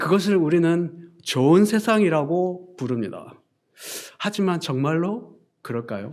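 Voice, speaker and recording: With lively intonation and a high pitch, a man speaks at a very slow pace. Audible room echo surrounds his voice. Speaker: pastor. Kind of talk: sermon.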